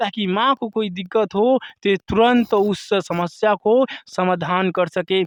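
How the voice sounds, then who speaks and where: Fairly even intonation runs through the speech. The sound is dry and close with no echo. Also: man. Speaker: village reporter. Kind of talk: field interview and commentary.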